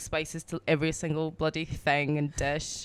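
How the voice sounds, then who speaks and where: In a Glaswegian accent, a woman talks at a moderate pace with a fairly low pitch. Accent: proper Scottish (Glaswegian). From Scotland, Glasgow. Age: 20s. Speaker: DJ. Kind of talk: casual chat.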